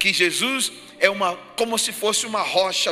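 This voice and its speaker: A man's high-pitched voice moves at a moderate pace while noticeable noise sits in the background. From Ghana. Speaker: pastor. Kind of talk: sermon. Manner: repetitive, emphatic preaching.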